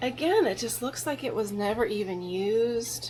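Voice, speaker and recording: A woman's lively, rising-and-falling voice at a moderate pace, with music in the background. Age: 50s. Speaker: vintage reseller and antique booth owner. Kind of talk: casual vlog narration of a shopping haul.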